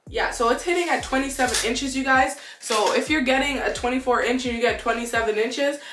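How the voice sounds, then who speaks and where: A woman talks at a very fast pace and high pitch, with fairly even intonation and hardly any pauses, over noticeable background noise. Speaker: beauty YouTuber. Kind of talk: product review. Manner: casual. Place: home room.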